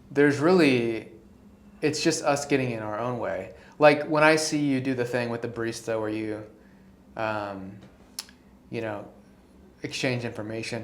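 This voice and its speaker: In a room with audible echo, a man speaks at a moderate pace, leaving long, frequent pauses. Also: medium pitch for a man, ordinary pitch variation. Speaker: guest interviewer, friend of podcast host. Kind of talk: casual chat. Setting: home apartment studio. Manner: animated.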